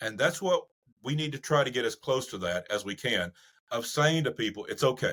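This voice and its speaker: Using lively intonation, a man with a Southern US accent speaks at a fairly quick pace in a medium-pitched voice. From US South. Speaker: psychologist. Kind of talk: podcast interview.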